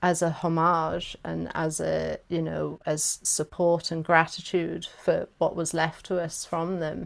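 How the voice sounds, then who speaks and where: With a South Welsh accent, a woman speaks at a fairly low pitch. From South Wales. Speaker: workshop facilitator. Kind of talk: workshop discussion. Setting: video call.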